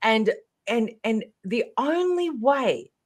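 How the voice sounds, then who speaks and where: Her pitch swings very widely as this woman talks in an Australian accent. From Australia, Melbourne. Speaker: transformational leader. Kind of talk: podcast interview.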